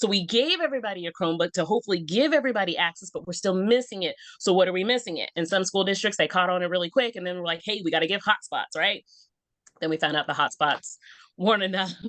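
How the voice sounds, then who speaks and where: A woman with an American accent talks at a very fast pace and a medium pitch, her tone animated and her pitch variation ordinary. The sound is dry and close, with no echo. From Texas. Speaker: school counselor. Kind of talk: podcast interview.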